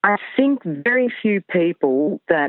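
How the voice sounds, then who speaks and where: A woman in an Australian accent with lively intonation. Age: 60s. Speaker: horse retrainer. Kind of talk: interview.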